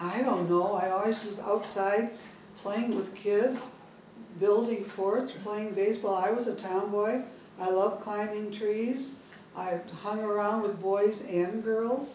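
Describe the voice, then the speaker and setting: A woman with an American accent speaks at a fairly slow pace in a medium pitch with monotone, flat intonation. Noticeable background noise and audible room echo are present. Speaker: retired teacher. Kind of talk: family interview.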